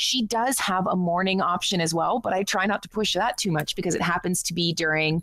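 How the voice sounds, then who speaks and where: A woman with a Canadian accent and a plain, everyday voice keeps a medium pitch and very even loudness with hardly any pauses. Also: ordinary pitch variation, fairly quick pace. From Canada. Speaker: online radio show host. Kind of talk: casual chat.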